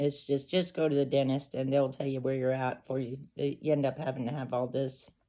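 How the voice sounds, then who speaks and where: With hardly any pauses, a woman speaks in a monotone, flat intonation at a very deep, low pitch. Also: fairly quick pace. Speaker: vlogger sharing personal story. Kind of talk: casual personal storytelling to camera. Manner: halting, with false starts.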